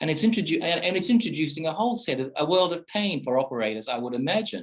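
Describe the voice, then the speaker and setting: Speaking with an Australian accent, the man has lively intonation. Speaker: professor. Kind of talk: panel discussion talk. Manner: halting, many repetitions and fillers.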